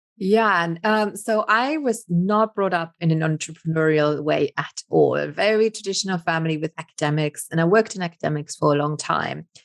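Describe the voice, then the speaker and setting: Speaking at a fairly quick pace with a Luxembourgish accent, a woman has a fairly low pitch and ordinary pitch variation. The sound is dry and close, with no echo. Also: hardly any pauses. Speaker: business coach. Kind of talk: interview.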